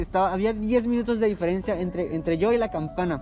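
A fairly quick, high-pitched man with a Mexican accent, ordinary pitch variation and noticeable background noise. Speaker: podcast host. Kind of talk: casual chat.

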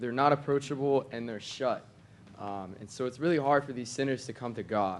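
A man talks at medium pitch with ordinary pitch variation. He has a normal speaking voice. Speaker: church member. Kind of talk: testimony. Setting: church meeting with audience.

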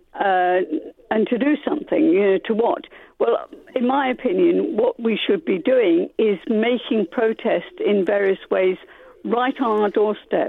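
With an English accent, a woman speaks at a fairly slow pace and fairly high pitch, her intonation lively and her loudness very even. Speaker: radio caller. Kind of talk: radio phone-in. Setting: phone call.

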